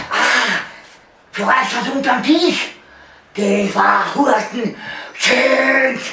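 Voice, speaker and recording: A man puts on a cartoonish character voice at an extremely high pitch and a very slow pace. Long, frequent pauses break it up, with a slight echo. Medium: puppet. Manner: mumbled, lisping, agitated.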